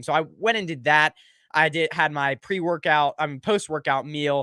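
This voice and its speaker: A man speaks loudly in a bright, sharp tone, at a fairly high pitch with ordinary pitch variation and a moderate pace. The recording is very clean with a silent background, and the sound is dry and close with no echo. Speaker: sports podcast host. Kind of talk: livestream sports talk show. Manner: halting, many fillers. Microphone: good quality mic.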